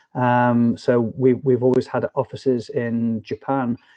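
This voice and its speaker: A man with a northwest English accent speaks at a fairly slow pace. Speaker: business development director. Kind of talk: interview. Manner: hesitant, many fillers.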